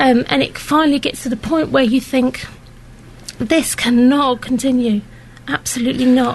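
Amid noticeable background noise, a woman with a high pitch talks at a moderate pace. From Luton. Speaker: mother. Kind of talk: interview. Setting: studio. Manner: hesitant.

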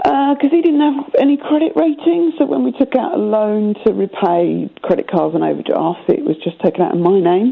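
A woman talks at a fairly quick pace with hardly any pauses and very wide pitch swings. Noticeable background noise is present. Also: fairly high pitch for a woman. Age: 30s. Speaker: caller. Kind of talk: phone-in conversation.

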